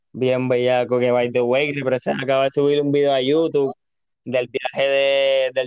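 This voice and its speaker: At a moderate pace, this man talks in a medium pitch. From Puerto Rico, Carolina. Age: 20s. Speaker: skateboarder. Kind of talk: casual chat.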